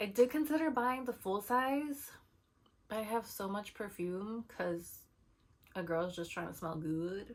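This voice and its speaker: A woman talks at medium pitch with lively intonation. Her pace is fairly slow. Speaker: beauty vlogger. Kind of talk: casual product haul chat.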